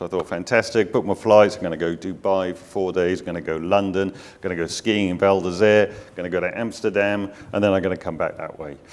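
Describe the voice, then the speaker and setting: A man with a very deep, low voice talks at a very fast pace, his intonation fairly even while his loudness swings widely. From UK. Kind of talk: panel discussion.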